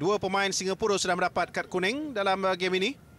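With fairly even intonation, a man's voice keeps to a moderate pace. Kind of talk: live commentary.

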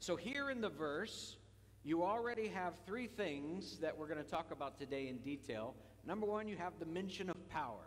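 The man's high voice moves through very wide pitch swings. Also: moderate pace. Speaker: pastor. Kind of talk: sermon. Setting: church. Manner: animated.

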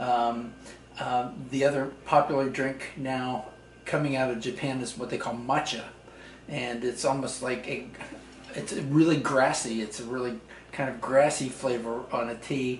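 Over light background noise and audible room echo, a man speaks at a fairly slow pace. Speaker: tea enthusiast host. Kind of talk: casual explanation to visitor. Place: kitchen.

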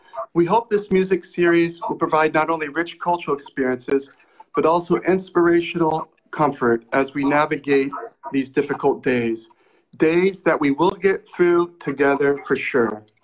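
At a moderate pace, a man talks with ordinary pitch variation. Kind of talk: formal welcome address. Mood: warm, earnest. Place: home room. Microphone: video call.

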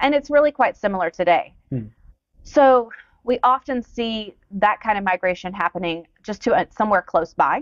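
Speaking with a Southern US accent, a woman uses a fairly high pitch and lively intonation at a moderate pace. The sound is dry with no echo, over a quiet background. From US South, Georgia. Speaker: demographer; guest. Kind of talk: interview. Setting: stage with audience. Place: studio.

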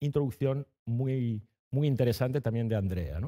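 The voice has a dark, mellow tone. The background is quiet. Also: man. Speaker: event moderator. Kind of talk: moderated public talk. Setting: stage with audience. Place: hall. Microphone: headset.

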